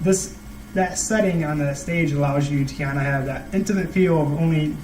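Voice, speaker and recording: Amid noticeable background noise and audible room echo, a man speaks at a moderate pace with a fairly high pitch and fairly even intonation. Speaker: student vlogger. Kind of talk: casual monologue to camera. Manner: halting; sometimes very quiet.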